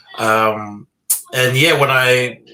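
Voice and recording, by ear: A man speaks with a bright, sharp tone and ordinary pitch variation. Room echo is audible.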